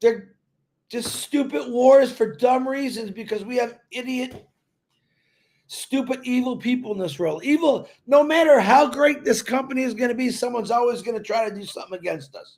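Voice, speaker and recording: A loud man speaks at a moderate pace. His pitch is extremely high for a man, with ordinary variation. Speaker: network marketing promoter. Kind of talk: live stream talk. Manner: animated.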